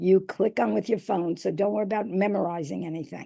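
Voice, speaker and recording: A woman with a New York accent and a dark, mellow tone. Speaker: reading specialist and educator. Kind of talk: presentation.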